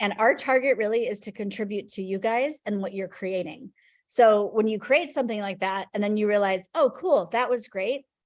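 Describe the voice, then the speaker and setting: A woman speaks at a fairly high pitch with ordinary pitch variation against a quiet background. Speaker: class follow-up call host. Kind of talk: Q&A video call. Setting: video call. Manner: fast.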